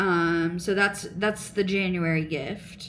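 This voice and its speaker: Mumbling at a very slow pace, a woman speaks at medium pitch with ordinary pitch variation as audible room echo surrounds her. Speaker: crochet and knitting vlogger. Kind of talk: casual chat.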